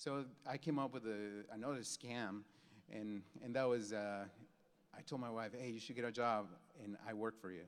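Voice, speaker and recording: With a Mexican accent, the speaker keeps a moderate pace and fairly even intonation, with long, frequent pauses. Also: man, medium pitch for a man. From Mexico. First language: Spanish. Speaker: graphic designer, keynote speaker. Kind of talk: keynote speech. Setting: stage with audience. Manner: halting, many repeated words.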